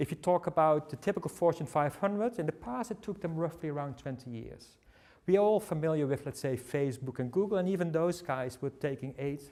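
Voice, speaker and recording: The speech has a Dutch accent. Its pace is fairly quick. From Netherlands. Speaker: tech company speaker. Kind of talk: seminar presentation. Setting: seminar with audience. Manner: halting, many fillers.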